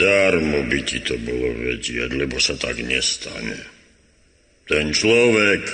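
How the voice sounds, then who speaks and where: A man puts on a character voice with a very deep, low pitch, and there is a clear echo. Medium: old radio play. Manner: grumbling, drowsy.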